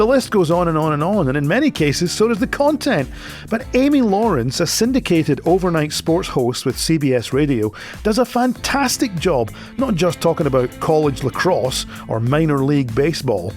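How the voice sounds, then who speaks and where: With music in the background, a man with a Scottish accent speaks at a fairly high pitch, swinging very widely in pitch while keeping his loudness very even. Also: moderate pace. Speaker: radio show host. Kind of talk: radio feature presentation.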